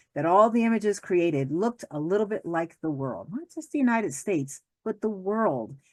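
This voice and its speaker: Against a quiet background, a woman with a slight New Jersey accent talks at a fairly quick pace in an animated tone with very wide pitch swings. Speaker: law professor. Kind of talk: lecture. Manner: fast.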